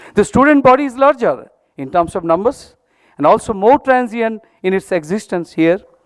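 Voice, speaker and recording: The speaker talks at a fairly quick pace with lively intonation and a Bengali accent, in a dry, close sound with no echo. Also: man. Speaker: institute director. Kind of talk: formal speech. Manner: formal.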